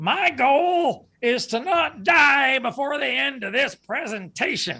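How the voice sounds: In a put-on character voice, someone speaks at a high pitch and a fairly slow pace.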